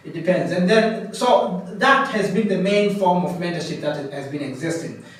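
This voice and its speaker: A man talks at a moderate pace in a high voice with lively intonation. Audible room echo and noticeable background noise come through. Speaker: coaching program founder and facilitator. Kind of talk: presentation. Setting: in-person session with participants. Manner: loud; halting, repetitive.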